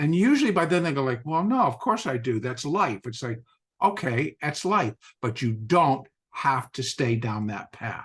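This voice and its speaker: At a moderate pace, a man speaks at a medium pitch in an animated tone, his intonation lively and his voice somewhat breathy. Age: 60s. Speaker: podcast host and trader. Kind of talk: casual interview chat.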